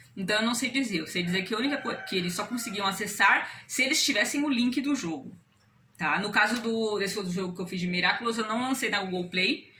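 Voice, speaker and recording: A woman at a fairly high pitch, with ordinary pitch variation and a fairly quick pace, over noticeable background noise. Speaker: amateur game developer. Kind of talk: casual explanation. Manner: fast.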